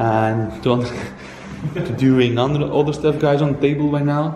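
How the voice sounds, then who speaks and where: A man speaks at an average speed while clearly audible background noise plays. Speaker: urban explorer vlogger. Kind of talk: casual vlog chat. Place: home room. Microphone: phone near.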